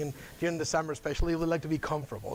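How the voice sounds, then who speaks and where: A man with a Spanish accent talks at a very fast pace in a fairly high pitch. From Spain. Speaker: UN outreach officer. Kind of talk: guest lecture.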